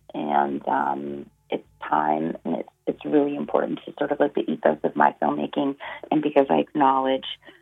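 A woman with a Canadian accent at a moderate pace, music in the background. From northern Alberta, Canada. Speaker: filmmaker. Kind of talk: interview.

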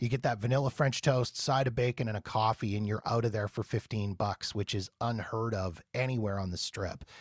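A somewhat breathy man's voice with a Canadian accent, medium in pitch, fairly even in intonation, with hardly any pauses. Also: fairly quick pace, dry, close sound with no echo, very clean recording, silent background. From Canada. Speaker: podcast host, Las Vegas travel enthusiast. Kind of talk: casual interview.

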